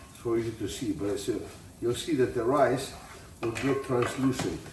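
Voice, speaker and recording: Heard amid noticeable background noise and audible room echo, the voice has an Italian accent, a moderate pace, ordinary pitch variation and big swings in loudness. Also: man, medium pitch for a man. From Italy. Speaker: tailor and home cook. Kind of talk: cooking tutorial. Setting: home kitchen. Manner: casual, halting.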